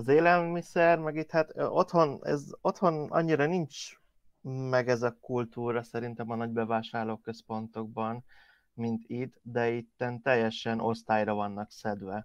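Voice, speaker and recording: A man with an ordinary speaking voice talks at a fairly slow pace, his medium pitch showing ordinary pitch variation. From Hungary. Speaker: podcast co-host. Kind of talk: casual chat.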